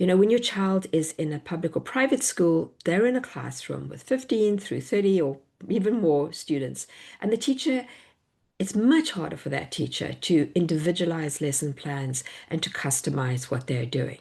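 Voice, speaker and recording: In a South African accent, a woman speaks at a moderate pace with a fairly low pitch, a dark, mellow tone and vocal fry. Her pitch swings very widely, and the background is quiet. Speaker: homeschool educator and workshop presenter. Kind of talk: online workshop presentation.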